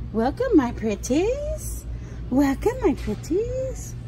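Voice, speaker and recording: A put-on character voice speaks at a very slow pace against clear background noise. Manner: cackling, theatrical welcome.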